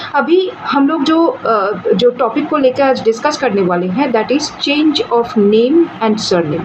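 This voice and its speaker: With a Bengali accent, a high-pitched woman speaks with very wide pitch swings, very even loudness and hardly any pauses, over noticeable background noise. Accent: Bengali-accented Hindi. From India, Bengal. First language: Bengali (speaking Hindi). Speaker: legal explainer YouTuber. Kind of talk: explainer talk. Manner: Hindi-English code-switching with fillers.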